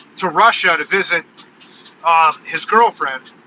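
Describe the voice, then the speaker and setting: A man with an American accent speaks loudly and with lively intonation over noticeable background noise. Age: 40s. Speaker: YouTube content creator. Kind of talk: live stream casual monologue.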